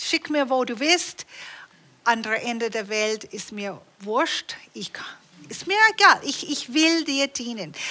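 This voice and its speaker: With noticeable background noise behind her, a woman talks very slowly in a high voice, her pitch swinging very widely and her loudness rising and falling sharply. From Canada. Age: 60s. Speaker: preacher. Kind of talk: sermon. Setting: church.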